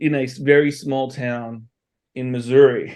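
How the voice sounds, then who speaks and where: A man's fairly high voice with fairly even intonation. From Australia. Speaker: entrepreneur and consultant. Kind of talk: podcast interview. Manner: casual, with fillers.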